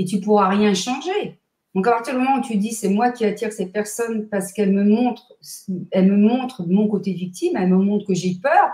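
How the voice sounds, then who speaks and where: A woman's medium-pitched, somewhat breathy voice with a dark, mellow tone, ordinary pitch variation and a fairly quick pace. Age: 60s. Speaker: numerologist and therapist. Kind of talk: interview. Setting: live stream. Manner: energetic.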